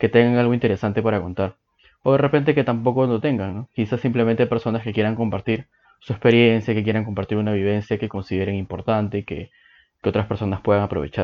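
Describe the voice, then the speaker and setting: A man's medium-pitched voice at a very fast pace, fairly even in intonation. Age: 20s. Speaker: podcast host. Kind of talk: podcast introduction monologue.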